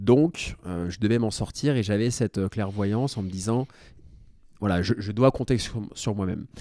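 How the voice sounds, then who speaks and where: In a very clean recording over a silent background, a man with a dark, mellow tone talks at a moderate pace with ordinary pitch variation. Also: fairly low pitch for a man. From France, Paris. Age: 30s. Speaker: real estate investor. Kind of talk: interview.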